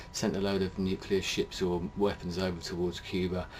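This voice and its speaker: A man with a British accent and a very deep, low pitch, with noticeable background noise. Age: 40s. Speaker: video blogger. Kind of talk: personal monologue. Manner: hesitant, many fillers.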